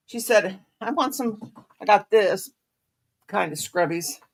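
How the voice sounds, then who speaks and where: Very wide swings in pitch from a woman's voice. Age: 60s. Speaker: crochet livestream host. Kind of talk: casual chat. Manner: rambling, halting.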